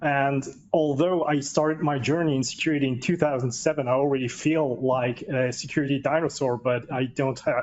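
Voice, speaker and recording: A slight non-native accent with fairly even intonation at a fairly quick pace. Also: man. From Austria. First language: German. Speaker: cybersecurity technology executive. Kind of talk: panel discussion.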